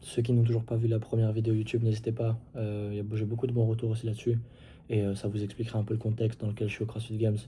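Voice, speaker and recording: A man talks very fast at a medium pitch, his tone dark and mellow and somewhat breathy. His intonation stays monotone and flat. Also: very clean recording, silent background. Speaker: CrossFit athlete vlogger. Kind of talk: casual vlog recap. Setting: indoors at night. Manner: soft-spoken; hesitant, many fillers.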